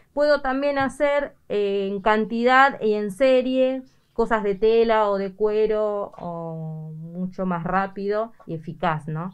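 This woman speaks with an Argentine accent. Her pitch is fairly high and her intonation lively. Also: quiet background. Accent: Rioplatense Argentine Spanish. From Argentina, Buenos Aires province (Carapachay); Buenos Aires province, Argentina. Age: 50s. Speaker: seamstress. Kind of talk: news interview. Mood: pleased, animated. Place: workshop. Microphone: handheld.

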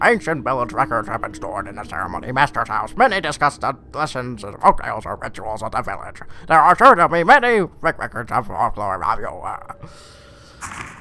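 Using a put-on character voice, a man talks at medium pitch and a moderate pace.

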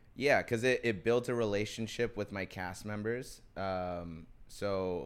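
Speaking at a fairly slow pace, a man uses an unremarkable speaking voice, fairly low in pitch, with fairly even intonation. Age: 20s. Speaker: actor and DJ; actor, DJ. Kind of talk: casual chat. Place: studio. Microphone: studio mic.

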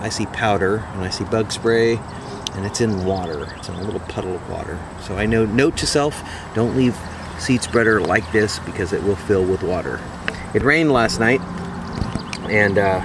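Amid noticeable background noise, a man speaks at a moderate pace with ordinary pitch variation and long, frequent pauses, in a dry sound with no echo. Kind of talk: casual vlog chat. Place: tent. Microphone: phone near.

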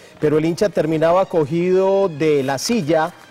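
Faint music plays behind a man speaking. His pitch is high, with ordinary pitch variation. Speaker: sports commentator. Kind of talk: commentary. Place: studio. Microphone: lapel.

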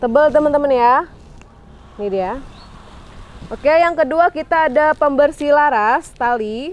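A woman with a high voice talks at a fairly slow pace, her pitch varying in an ordinary way. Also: dry sound with no echo. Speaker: online shop admin and sales presenter. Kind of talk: sales pitch, product showcase. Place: garden.

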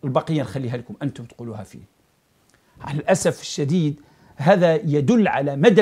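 Against a quiet background, a man with an Algerian accent speaks at a fairly high pitch in a somewhat breathy voice with very wide pitch swings. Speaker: political commentator. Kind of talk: political commentary monologue. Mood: critical, sarcastic. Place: studio.

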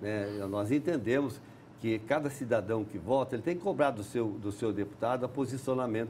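Light background noise sits behind a man talking. His pace is fairly quick, with ordinary pitch variation. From Paraná, Brazil. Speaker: politician; politician interviewee. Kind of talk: TV interview. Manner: halting. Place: studio. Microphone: lapel.

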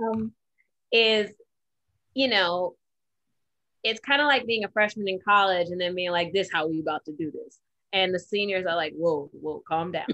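A woman with an American accent at a moderate pace, ordinary pitch variation and long, frequent pauses. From Detroit, US Midwest. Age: 30s. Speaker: podcast co-host. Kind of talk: casual chat. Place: home room. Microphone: video call.

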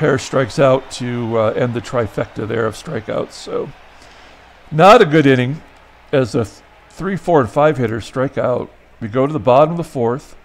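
Noticeable background noise under a man's voice, medium in pitch, with ordinary pitch variation and a moderate pace. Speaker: baseball simulation game channel host. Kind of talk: simulated baseball game play-by-play commentary. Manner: casual, hesitant with fillers.

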